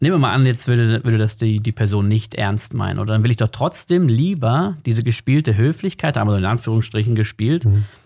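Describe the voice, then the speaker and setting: A man's unremarkable speaking voice, fairly quick in pace and medium in pitch. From Germany. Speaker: emigrant content creator. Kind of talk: interview conversation.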